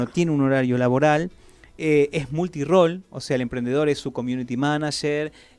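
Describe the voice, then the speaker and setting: This man has an unremarkable speaking voice, pitched fairly high. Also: fairly even intonation, moderate pace. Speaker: radio host. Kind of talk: radio talk segment. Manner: conversational, explanatory.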